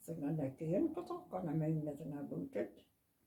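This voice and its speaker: A woman with a northeast Scottish accent and a very deep, low pitch. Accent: Doric. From North East Scotland, Sandend / Portsoy. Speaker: family elder recalling village life. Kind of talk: casual interview chat.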